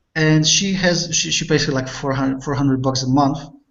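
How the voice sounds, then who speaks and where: There is audible room echo as a man speaks. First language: not English. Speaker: online marketing coach. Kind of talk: casual interview chat. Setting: video call. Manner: halting, repeats words.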